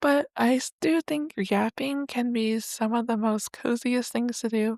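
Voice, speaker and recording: A soft-spoken woman with a high-pitched voice talks at a fairly slow pace. The sound is dry and close, without any echo. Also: ordinary pitch variation. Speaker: podcast host. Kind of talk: casual monologue. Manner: rambling, chatty.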